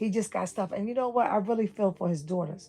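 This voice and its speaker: A woman with a New York accent, fairly quick pace and fairly even intonation. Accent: New York City. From New York City (Brooklyn). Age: 60s. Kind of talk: livestream rant.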